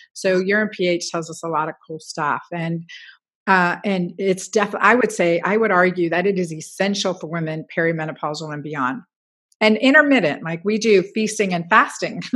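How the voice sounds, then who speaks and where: Talking at a fairly quick pace over a quiet background, a woman with an unremarkable speaking voice and medium pitch shows ordinary pitch variation and big swings in loudness. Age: 50s. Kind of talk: interview.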